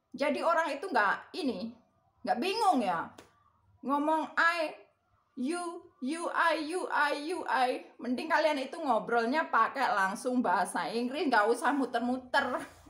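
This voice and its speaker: A woman speaks in a strong Javanese accent at a high pitch. Her intonation is lively and her pace very slow. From Indonesia, Java. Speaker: vlogger. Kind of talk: casual chat. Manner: rambling with fillers.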